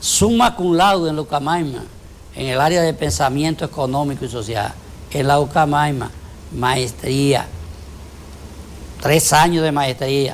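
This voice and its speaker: Against noticeable background noise, the speech comes at a fairly slow pace with long, frequent pauses and ordinary pitch variation. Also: man, fairly high pitch for a man. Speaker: politician. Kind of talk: interview. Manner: formal.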